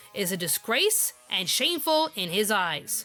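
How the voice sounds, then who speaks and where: Music plays in the background as a woman talks at a fairly slow pace. Her pitch is fairly high, with very wide swings. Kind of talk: anime review narration to camera.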